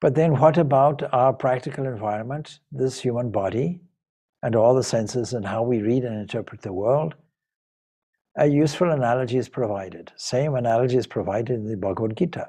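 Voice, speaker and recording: Against a quiet background, a man speaks at a fairly quick pace in a dark, mellow tone with ordinary pitch variation. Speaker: spiritual teacher. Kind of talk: lecture. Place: home room. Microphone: video call.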